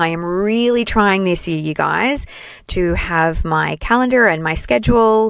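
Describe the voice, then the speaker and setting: In an Australian accent, a woman speaks at a fairly slow pace with an animated tone and lively intonation on a very clean recording with a silent background. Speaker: play therapist and trainer. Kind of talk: solo podcast monologue.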